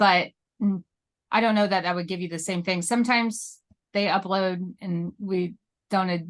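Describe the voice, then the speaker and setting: With long, frequent pauses and fairly even intonation, a woman speaks at a medium pitch, with a dry, close sound with no echo and a quiet background. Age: 40s. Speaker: real estate agent, military spouse. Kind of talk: interview. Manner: fast.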